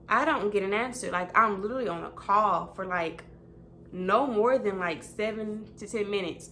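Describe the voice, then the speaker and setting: An animated tone from a woman at medium pitch, with audible room echo. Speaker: vlogger and customer service representative. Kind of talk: casual chat.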